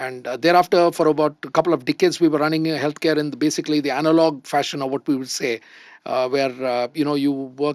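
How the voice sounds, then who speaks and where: A man with a fairly high voice speaks at a fairly quick pace. The very clean recording has a silent background and a dry, close sound with no echo. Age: 60s. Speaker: entrepreneur. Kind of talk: panel discussion. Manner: hesitant, many fillers.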